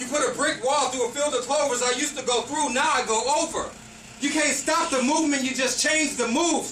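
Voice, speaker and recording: A man's raised, projected voice at an extremely high pitch, fairly quick in pace, with ordinary pitch variation, audible room echo and noticeable background noise. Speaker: poetry performer. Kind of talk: spoken word poetry performance. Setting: stage with audience, no microphone. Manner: loud. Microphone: no microphone, room echo.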